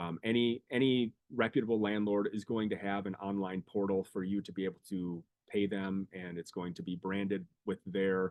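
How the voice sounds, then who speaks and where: A man speaks with a fairly low pitch. His intonation stays fairly even. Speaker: student legal services attorney. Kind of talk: webinar presentation. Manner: fast.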